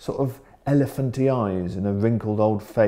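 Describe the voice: The text is read aloud plainly, the pitch varying in an ordinary way.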